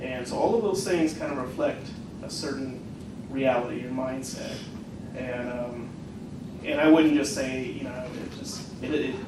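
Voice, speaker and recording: A man with an American accent speaks at a moderate pace and medium pitch with ordinary pitch variation, long, frequent pauses and big swings in loudness, amid noticeable background noise and audible room echo. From US Pacific Northwest, Eugene Oregon. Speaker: college instructor. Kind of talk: workshop discussion.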